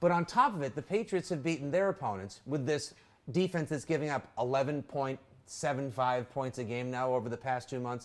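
A man's speech shows ordinary pitch variation and unfolds at a moderate pace. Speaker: podcast host. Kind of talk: casual sports chat. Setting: live stream. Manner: animated, jokey.

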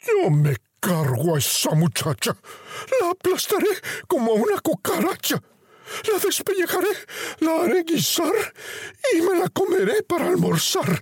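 A man speaks in a put-on character voice at an extremely high pitch. His pace is moderate, broken by long, frequent pauses. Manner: furious, menacing.

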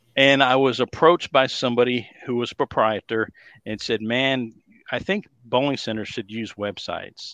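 Against a quiet background, a man with a Texas accent talks at a moderate pace and medium pitch. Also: ordinary pitch variation, dry, close sound with no echo. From Dallas, Texas. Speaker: bowling industry consultant. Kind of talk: casual interview chat.

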